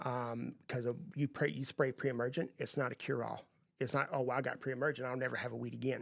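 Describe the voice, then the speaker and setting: Speaking with a Texan accent and vocal fry, a man talks at a very fast pace. His intonation stays fairly even. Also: medium pitch for a man. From East Texas. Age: 50s. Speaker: landscaping business owner. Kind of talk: podcast interview.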